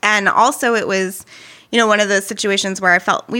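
This woman's voice has a bright, sharp tone and fairly even intonation. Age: 30s. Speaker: musician and interfaith community worker. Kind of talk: casual chat.

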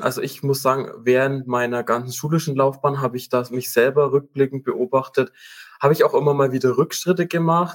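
Using an ordinary speaking voice, a man talks at a fairly high pitch with ordinary pitch variation. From Upper Franconia, Germany (Münchberg). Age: 20s. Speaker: business program manager. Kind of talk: interview.

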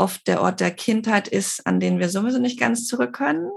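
A woman at a medium pitch speaks at a moderate pace in an ordinary speaking voice. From Barcelona, Spain. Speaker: intercultural trainer and psychologist. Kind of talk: interview conversation.

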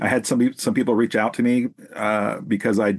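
A man with an American accent and an unremarkable speaking voice talks at a moderate pace and medium pitch. His pitch varies in an ordinary way, and the sound is dry and close with no echo. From US Pacific Northwest (Salem, Oregon). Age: 40s. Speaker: counseling professor and former youth corrections worker. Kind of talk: interview conversation.

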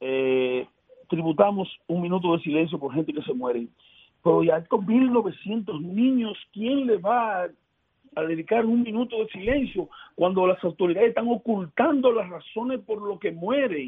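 A man talks at a fairly slow pace in a high pitch. His pitch swings very widely. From Dominican Republic, Elías Piña. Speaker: senator. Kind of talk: radio interview.

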